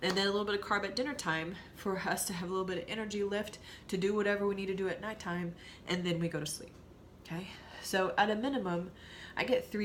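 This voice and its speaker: Audible room echo surrounds a woman speaking at medium pitch with fairly even intonation. Her pace is very fast. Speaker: nutrition coach. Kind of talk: tutorial.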